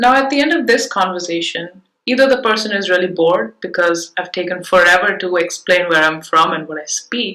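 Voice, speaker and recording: The delivery is fairly quick, with hardly any pauses. The tone is bright and sharp, and the intonation is lively. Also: woman, medium pitch for a woman. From India, Bangalore. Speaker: type designer speaker. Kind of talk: conference presentation. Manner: scripted, measured.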